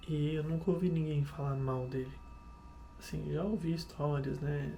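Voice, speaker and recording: A soft-spoken voice moves at a moderate pace through audible room echo and noticeable background noise. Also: man. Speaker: vlogger. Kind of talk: casual vlog monologue. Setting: home kitchen at night. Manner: halting.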